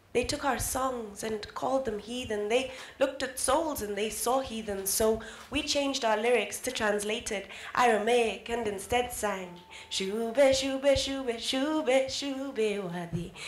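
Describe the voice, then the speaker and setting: A woman speaks at a fairly high pitch. Light background noise and audible room echo are present. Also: ordinary pitch variation, fairly slow pace. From Kenya. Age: young. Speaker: spoken word artist. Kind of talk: spoken word poetry performance. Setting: live event. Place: hall. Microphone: handheld.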